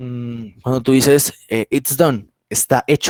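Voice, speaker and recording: The recording sounds dry and close, with no echo. In it, a man talks at a medium pitch. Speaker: English teacher. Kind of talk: online class lecture. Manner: fast; halting.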